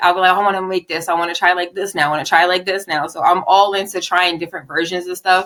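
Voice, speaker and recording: A woman with a Philadelphia accent talks in a bright, sharp tone. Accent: Philly. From Southwest Philadelphia, US. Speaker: poet and model. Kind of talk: casual interview. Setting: podcast.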